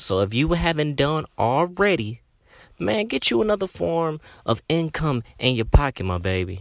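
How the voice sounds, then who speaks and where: Animated in tone, a man speaks at a fairly slow pace with very wide pitch swings. The sound is dry and close, with no echo. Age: 20s. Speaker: podcast host. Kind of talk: casual monologue. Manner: animated, filler-heavy.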